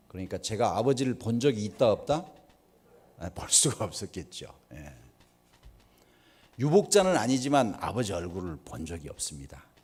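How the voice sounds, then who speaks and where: Speaking at a moderate pace with long, frequent pauses, a man uses a medium pitch with very wide pitch swings and big swings in loudness. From rural South Korea. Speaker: guest speaker at church. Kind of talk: sermon. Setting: church with audience. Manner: rhetorical questions to audience.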